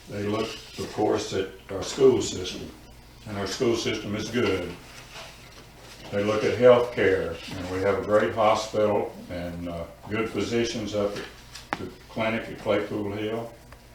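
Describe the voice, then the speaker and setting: With an Appalachian accent, a man talks at a fairly slow pace in a fairly low pitch, his intonation monotone and flat, with long, frequent pauses, audible room echo and noticeable background noise. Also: big swings in loudness. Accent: Appalachian US Southern. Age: 80s+. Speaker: public commenter at town council. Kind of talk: public comment.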